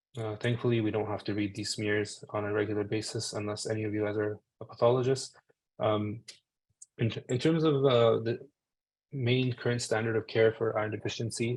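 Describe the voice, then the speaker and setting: The voice is somewhat breathy, moving at a fairly quick pace in a flat monotone. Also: man, medium pitch for a man. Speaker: physician giving a medical talk. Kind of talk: webinar lecture. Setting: video call webinar. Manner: hesitant, many fillers.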